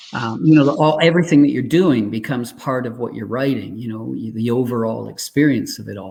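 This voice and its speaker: In an unremarkable speaking voice, a man talks at a fairly quick pace with hardly any pauses and a medium pitch. His pitch varies in an ordinary way, while his loudness swings widely. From Canada. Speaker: singer, songwriter. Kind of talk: interview answer.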